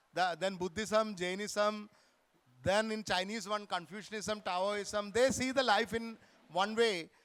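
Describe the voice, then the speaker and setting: Loud and high-pitched, a man speaks at a moderate pace with fairly even intonation. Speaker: author. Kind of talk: literary festival conversation.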